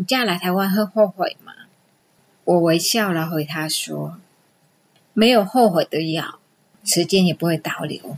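Here is a woman's voice, fairly low in pitch. She talks at a fairly slow pace. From Vietnam. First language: Vietnamese (speaking Chinese). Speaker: immigrant storyteller, amateur actress. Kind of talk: recorded personal storytelling.

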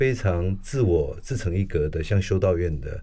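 A man's somewhat breathy, very deep, low voice with a dark, mellow tone, ordinary pitch variation and a moderate pace. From Taiwan, Taipei. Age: 60s. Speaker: architect and professor. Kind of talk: interview conversation.

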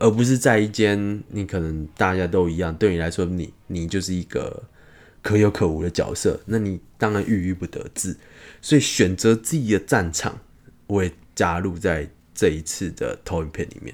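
A calm man with a very deep, low pitch at a moderate pace. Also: ordinary pitch variation. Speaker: podcast host, medical student. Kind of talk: casual podcast talk. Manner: calm, comfortable pace and pitch.

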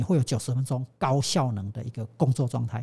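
This man's voice is medium in pitch, somewhat breathy, with a dark, mellow tone and ordinary pitch variation. The recording is very clean and the background silent. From Taiwan. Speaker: sports science professor. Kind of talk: interview.

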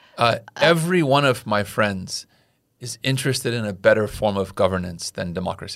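In an American accent, a man at medium pitch uses an ordinary speaking voice with lively intonation at a fairly quick pace. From California. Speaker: podcast host. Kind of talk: casual chat.

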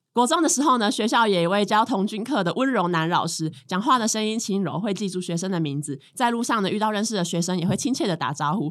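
Very wide pitch swings and a fairly quick pace in a Taiwanese accent, on a very clean recording with a silent background. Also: woman. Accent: Taiwanese Mandarin. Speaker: co-host reading sponsor ad. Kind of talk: casual chat.

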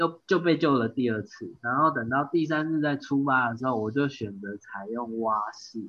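A man with a Taiwanese accent speaks fairly slowly at a fairly high pitch. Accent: Taiwanese Mandarin. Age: 30s. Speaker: amateur triathlete. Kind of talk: casual interview chat.

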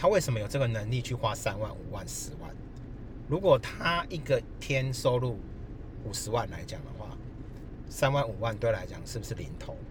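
A man at a medium pitch speaks at a moderate pace with long, frequent pauses and big swings in loudness, amid audible room echo. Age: 40s. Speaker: finance professional. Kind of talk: casual chat. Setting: recorded outdoors by the roadside on a laptop. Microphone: laptop mic.

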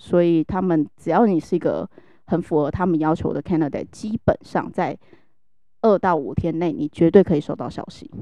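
Her pitch is fairly low and varies in an ordinary way. The woman talks at a moderate pace. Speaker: HR professional. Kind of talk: casual chat. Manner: animated.

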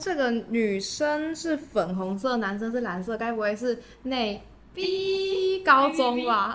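Over noticeable background noise and audible room echo, a woman speaks very slowly in a high pitch with very wide pitch swings. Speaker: youth podcast host. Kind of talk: casual chat. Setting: recording venue.

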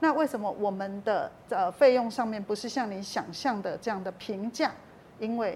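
A woman speaks at a moderate pace with a somewhat breathy, fairly high voice. Her pitch varies in an ordinary way. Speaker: talent agent for visually impaired performers, author. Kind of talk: interview.

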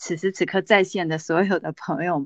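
Dry and close with no echo, a woman's animated voice comes at a moderate pace over a quiet background. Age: 40s. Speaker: direct-sales business leader and motivational speaker. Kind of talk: sales pitch.

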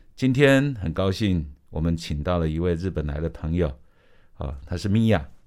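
A man speaks with a very deep, low pitch and a Taiwanese accent. His intonation is lively. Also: moderate pace. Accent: Taiwanese Mandarin. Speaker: radio host. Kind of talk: casual chat.

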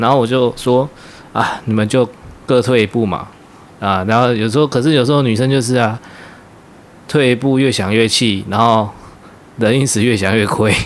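Long, frequent pauses break up a man's speech. His medium-pitched voice keeps a very even loudness. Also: fairly even intonation, moderate pace. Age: 30s. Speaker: podcast co-host, workplace supervisor. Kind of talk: casual chat.

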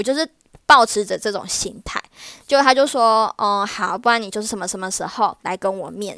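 A woman at a fairly high pitch with a bright, sharp tone, ordinary pitch variation and a moderate pace, in a dry, close sound with no echo. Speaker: wedding planner and emcee. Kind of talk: casual monologue. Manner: animated.

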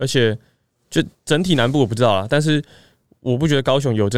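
A man talking at a very fast pace. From southern Taiwan. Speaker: fitness coach. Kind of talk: casual chat.

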